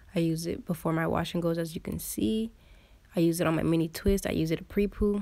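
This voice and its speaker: Speaking very fast with a slight non-native accent, a woman has a fairly low, dark, mellow voice with ordinary pitch variation. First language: not English. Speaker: beauty vlogger. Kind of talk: voiceover tutorial. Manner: casual.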